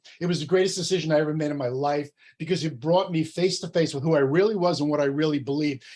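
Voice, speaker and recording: A man talks at a very fast pace in a New Jersey accent. His pitch is fairly high, and his intonation stays fairly even. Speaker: entrepreneur and coach. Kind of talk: workshop presentation.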